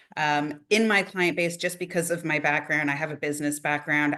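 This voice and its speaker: A woman with a Canadian accent speaks at a moderate pace and a very deep, low pitch. Her tone is bright and sharp, her intonation monotone and flat. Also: quiet background. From Canada. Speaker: admissions consultant and education planner. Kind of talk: interview.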